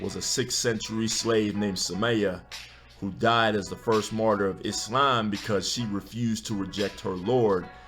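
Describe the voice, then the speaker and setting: Fairly low-pitched man at a moderate pace, intonation fairly even, music in the background. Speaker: spoken word poet. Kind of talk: spoken word poetry performance. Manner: rhythmic, emphatic delivery.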